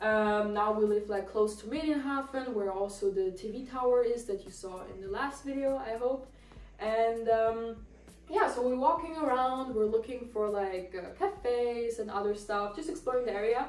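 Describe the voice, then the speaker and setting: A woman with a non-native accent, fairly high in pitch with ordinary pitch variation, at a moderate pace, in audible room echo and noticeable background noise. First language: not English. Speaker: lifestyle vlogger. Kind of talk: casual apartment tour. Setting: at home. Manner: casual, hesitant with fillers.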